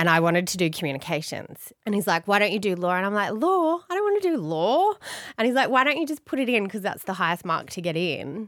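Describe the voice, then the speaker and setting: A bubbly woman with an Australian accent, medium-pitched, with very wide pitch swings and a very fast pace, on a very clean recording with a silent background. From Australia, Blue Mountains (NSW). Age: 40s. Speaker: family lawyer. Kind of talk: casual interview chat. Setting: studio with microphones and headphones.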